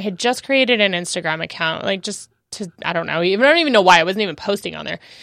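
In a very clean recording with a silent background, a bright, sharp voice races along very fast with very wide pitch swings. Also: woman. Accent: American. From Southern California desert (Phelan). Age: 30s. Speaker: vegan podcaster. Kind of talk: casual interview. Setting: studio.

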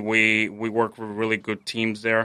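With a Spanish accent, a man speaks at a medium pitch in a bright, sharp tone. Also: quiet background. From Mexico City, Mexico. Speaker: chef. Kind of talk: casual interview. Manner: halting, many fillers.

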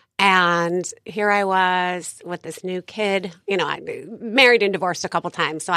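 On a very clean recording with a silent background, a woman of medium pitch speaks at a moderate pace in a bright, sharp tone, her intonation fairly even and the sound dry and close with no echo. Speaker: life coach. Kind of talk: casual interview chat.

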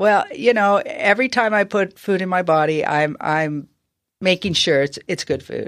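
A woman with an unremarkable speaking voice at medium pitch, at a moderate pace, with lively intonation and a quiet background. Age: 60s. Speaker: professional golfer. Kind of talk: casual chat.

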